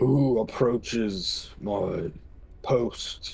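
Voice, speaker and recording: A man puts on a guttural character voice. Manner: challenging.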